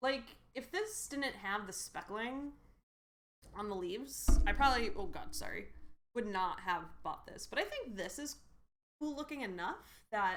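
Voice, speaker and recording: With audible room echo, a fairly high-pitched woman speaks at a fairly slow pace, using very wide pitch swings and long, frequent pauses. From New England, Connecticut. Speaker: streamer. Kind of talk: casual live stream chat. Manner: casual, filler-heavy.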